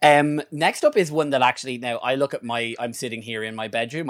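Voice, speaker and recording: On a very clean recording with a silent background, a man talks at a fairly quick pace with ordinary pitch variation. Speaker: podcast co-host. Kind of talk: angry comic rant, sweary mock-outrage at a stranger. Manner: fired-up and profane, hammering repetition of 'not hustling'; rambling, stumbles and repeats words.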